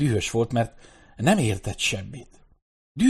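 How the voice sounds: The background is quiet. This is a natural reading voice.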